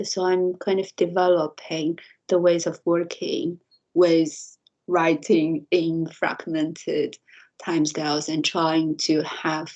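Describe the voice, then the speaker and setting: With a Chinese accent, a woman talks at a fairly low pitch. She speaks very slowly, her intonation fairly even. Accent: Mandarin Chinese accent in English. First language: Mandarin. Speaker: university lecturer and researcher. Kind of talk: interview conversation. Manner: halting, repeats words.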